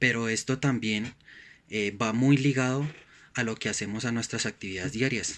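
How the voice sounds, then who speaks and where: Speaking at a moderate pace, a man holds a medium pitch. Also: fairly even intonation. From Colombia, Bogotá. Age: 30s. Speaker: student, delivery driver. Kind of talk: student course reflection presentation. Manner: hesitant, many fillers.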